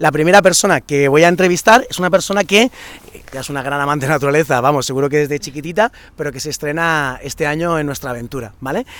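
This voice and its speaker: Dry and close with no echo, a man's voice races at a very fast pace with lively intonation. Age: 30s. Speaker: summer camp coordinator. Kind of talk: casual video presentation. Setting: outdoors at a campsite. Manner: animated.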